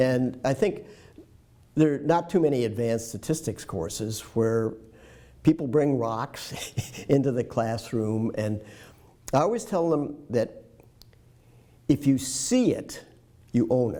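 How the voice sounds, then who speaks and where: Dark, mellow male voice with an American accent, fairly slow and marked by long, frequent pauses, with ordinary pitch variation. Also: medium pitch for a man. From US Midwest, Detroit. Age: 70s. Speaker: retired professor. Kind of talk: interview. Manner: halting.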